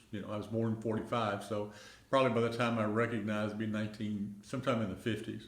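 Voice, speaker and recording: Audible room echo surrounds a man speaking very fast in a fairly low pitch with monotone, flat intonation. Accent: Middle Tennessee. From Middle Tennessee (rural, near Pulaski). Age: 70s. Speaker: retiree. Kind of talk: oral history interview. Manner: halting, many fillers.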